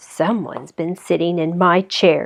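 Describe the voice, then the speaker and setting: A woman's put-on character voice, gruff and growling, with fairly low pitch, fairly even intonation and a moderate pace. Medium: read story.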